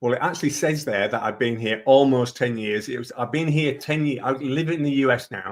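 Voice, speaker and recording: A man with a Leeds accent talks at a fairly quick pace with hardly any pauses, medium pitch and ordinary pitch variation. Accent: northern English (Leeds). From northern England, Leeds. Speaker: digital marketing consultant. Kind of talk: webinar presentation.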